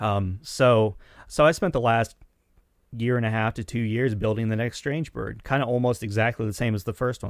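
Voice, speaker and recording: A man speaks in an ordinary speaking voice with an American accent, at a medium pitch and a fairly quick pace. His intonation is fairly even, and the recording is very clean with a silent background. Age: 40s. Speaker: musician and recording engineer. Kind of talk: casual interview chat.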